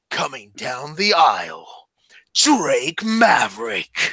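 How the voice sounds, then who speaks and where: In a put-on character voice, the speaker goes at a very slow pace with a middle pitch. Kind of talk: booming announcer style.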